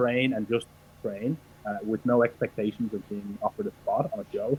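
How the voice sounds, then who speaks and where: The sound is dry and close with no echo as a man with an Irish accent speaks at a medium pitch with ordinary pitch variation. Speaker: professional wrestler. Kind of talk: interview.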